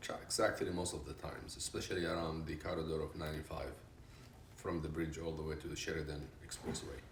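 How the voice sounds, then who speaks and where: A man with a very deep, low pitch talks at a very fast pace. His voice is somewhat breathy, with audible room echo. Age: 60s. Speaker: retired business consultant. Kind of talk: interview.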